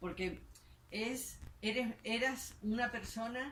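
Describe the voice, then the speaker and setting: Audible room echo surrounds a woman whose fairly high, somewhat breathy voice moves at a very slow pace. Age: 60s. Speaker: book presentation co-host. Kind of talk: panel discussion. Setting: bookshop event with audience. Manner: halting.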